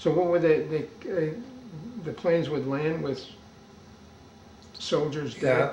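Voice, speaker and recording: A man with a fairly high pitch speaks at a fairly slow pace with fairly even intonation and long, frequent pauses. Audible room echo and noticeable background noise fill the recording. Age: 80s+. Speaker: oral history interviewer. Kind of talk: oral history interview. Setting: interviewee's home.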